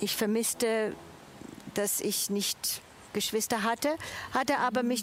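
Fairly slow pace and fairly even intonation. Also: woman. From Switzerland. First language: Italian (speaking German). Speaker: church volunteer, international café organiser. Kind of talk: testimony. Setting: outdoors in a garden.

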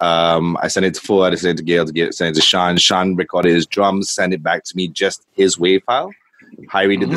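Speaking at a fairly quick pace, a man uses a very deep, low voice. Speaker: band musician. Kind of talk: casual interview. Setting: video call.

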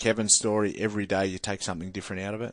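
The speaker has a strong Australian accent and fairly even intonation. The background is quiet. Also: man. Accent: broad Australian. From rural New South Wales, Australia. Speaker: former rugby league player and boxer, mental health speaker. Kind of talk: studio interview. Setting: studio. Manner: halting, many repetitions and fillers.

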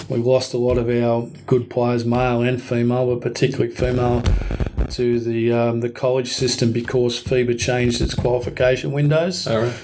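A man with an Australian accent at a moderate pace and medium pitch, with monotone, flat intonation and very even loudness, amid noticeable background noise and audible room echo. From Sydney, Australia. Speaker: basketball administrator and coach. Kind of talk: interview.

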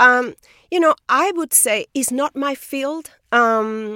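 On a very clean recording with a silent background, a woman with a Spanish accent talks in a bright, sharp tone. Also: dry, close sound with no echo. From Spain. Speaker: biophysicist, professor. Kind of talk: interview. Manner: halting, repeats words.

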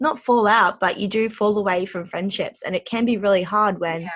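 A woman talks in an Australian accent. Her pitch is fairly high. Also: quiet background. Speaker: podcast host. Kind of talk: casual chat.

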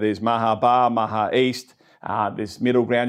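The speaker has an Australian accent and talks at a very fast pace. The background is quiet. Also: man. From Australia, Melbourne. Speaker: podcast host, business owner. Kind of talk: casual interview.

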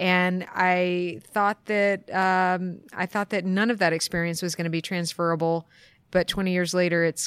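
In a very clean recording with a silent background, a woman speaks at a moderate pace with a fairly low pitch and monotone, flat intonation, the sound dry and close with no echo. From US East Coast. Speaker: accountant. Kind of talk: interview. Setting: conference.

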